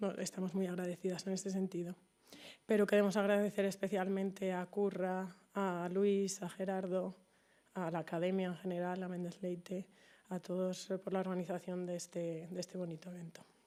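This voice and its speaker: Her intonation stays monotone and flat. The woman speaks at a moderate pace. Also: medium pitch for a woman, very clean recording, silent background. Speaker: daughter of the honoree. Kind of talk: tribute speech. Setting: event with audience. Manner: halting.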